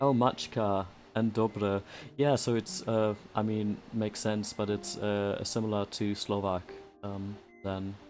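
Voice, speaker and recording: A man with a German accent speaks at a fairly slow pace in a flat monotone. Music plays in the background. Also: fairly low pitch for a man. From Germany. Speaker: streamer. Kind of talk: casual livestream gameplay chat.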